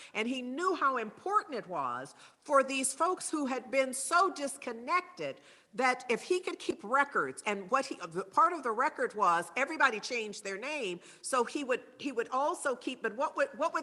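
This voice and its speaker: Projecting a raised voice, a woman speaks high and bright with a sharp tone. Her pace is moderate, and her pitch swings very widely. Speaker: speaker at spiritual service. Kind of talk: talk with slides.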